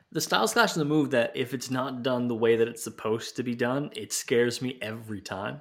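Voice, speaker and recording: A man talks in a normal speaking voice at medium pitch, with fairly even intonation. He goes at a fairly quick pace with hardly any pauses, on a very clean recording with a silent background. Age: 30s. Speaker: wrestling podcast host. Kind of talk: casual chat.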